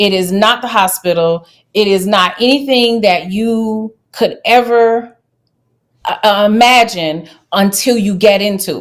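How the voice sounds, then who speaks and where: A woman with a Louisiana accent, medium pitch, ordinary pitch variation, a fairly slow pace and big swings in loudness, on a very clean recording with a silent background. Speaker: travel nurse. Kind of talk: interview.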